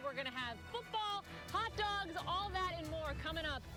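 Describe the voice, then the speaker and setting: A woman with an extremely high voice projects loudly in a playful, upbeat tone at a fairly slow pace, her pitch swinging very widely. Music plays in the background. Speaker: sports reporter and anchor. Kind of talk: casual, humorous TV stand-up to camera.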